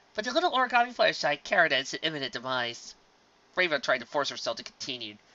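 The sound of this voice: The recording features an unforced reading voice.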